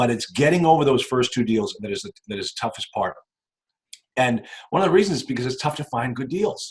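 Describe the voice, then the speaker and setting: This man talks with a medium pitch and very wide pitch swings, and his voice is somewhat breathy. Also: fairly quick pace. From New England. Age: 50s. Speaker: real estate investor and attorney. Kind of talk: casual interview.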